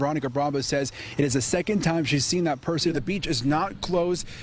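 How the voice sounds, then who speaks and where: In an American accent, a man with an ordinary speaking voice talks at a fairly quick pace, his fairly high pitch showing ordinary pitch variation. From Dallas, Texas. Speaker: news anchor and reporter. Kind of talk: TV news field report.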